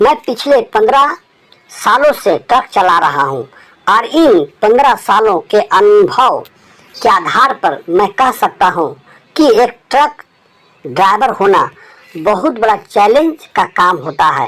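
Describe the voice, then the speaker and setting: A man speaks in a put-on character voice, high for a man. His pace is fairly slow. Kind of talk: horror narration. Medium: read story. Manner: dramatic, suspenseful storytelling.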